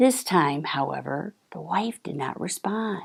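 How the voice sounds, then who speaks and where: A woman talks with vocal fry at a fairly slow pace. Her intonation is lively. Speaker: divorce attorney and mediator. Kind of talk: interview answer.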